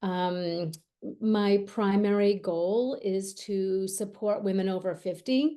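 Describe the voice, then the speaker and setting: A woman with an American accent speaks at a very slow pace in a dark, mellow tone. Her intonation is fairly even, and the background is quiet. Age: 60s. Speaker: portrait photographer. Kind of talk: panel discussion.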